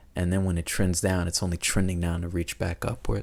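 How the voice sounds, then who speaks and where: A soft-spoken man talks at a moderate pace in a very deep, low pitch with ordinary pitch variation. The recording is very clean, the background silent. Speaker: vlogger. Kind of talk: personal reflective monologue. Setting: at home late at night. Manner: soft-spoken, keeping voice down.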